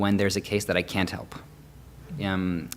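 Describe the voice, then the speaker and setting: A man talks at a moderate pace. His voice sits fairly low in pitch. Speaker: veterinarian. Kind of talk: career panel talk. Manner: halting, many pauses and repeated words.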